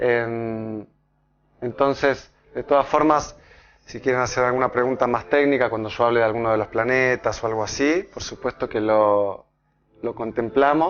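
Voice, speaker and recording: A man's medium-pitched voice with a slight Argentine accent, ordinary pitch variation and a moderate pace. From Argentina. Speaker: pediatrician and astrology speaker. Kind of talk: public talk. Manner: halting, with many fillers and repetitions.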